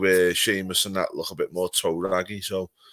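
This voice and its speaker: In a Scouse accent, a man speaks with a bright, sharp tone at a fairly low pitch. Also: very clean recording, silent background. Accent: Scouse (Liverpool) English. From Liverpool, northern England. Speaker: wrestling podcaster. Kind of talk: casual chat.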